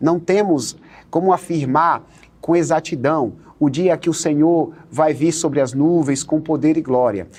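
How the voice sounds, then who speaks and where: A man's fairly high pitch with ordinary pitch variation and very even loudness. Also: fairly slow pace. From Northeast Brazil. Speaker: pastor and Bible study teacher. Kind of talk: TV Bible study dialogue.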